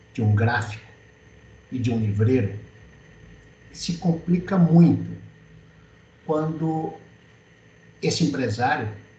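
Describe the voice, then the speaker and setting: Very slowly, a man speaks with a Brazilian accent and lively intonation. His tone is dark and mellow, somewhat breathy, with audible room echo. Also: long, frequent pauses. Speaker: publisher and writer. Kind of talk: webinar talk.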